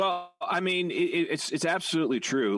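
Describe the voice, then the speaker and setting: A man talks at a moderate pace in a plain, everyday voice. His intonation is lively. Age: 40s. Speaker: podcast co-host. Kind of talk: casual chat. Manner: many fillers and restarts.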